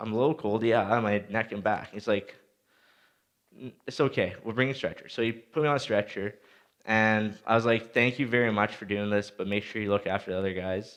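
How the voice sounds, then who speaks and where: An ordinary speaking voice from a man in a Canadian accent, fairly low pitch, fairly even intonation, fairly quick pace, quiet background. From Saskatchewan, Canada. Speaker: motivational speaker, former junior hockey player. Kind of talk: motivational talk. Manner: casual, storytelling.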